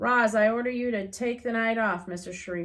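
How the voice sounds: Someone reads aloud here in a natural reading voice.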